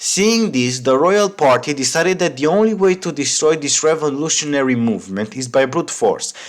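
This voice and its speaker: Speaking at a moderate pace, a man with a Romanian accent uses a fairly high pitch and lively intonation. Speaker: history YouTuber. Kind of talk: scripted narration.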